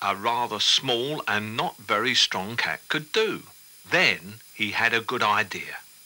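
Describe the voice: The clip is plain reading aloud, and its pitch varies in an ordinary way.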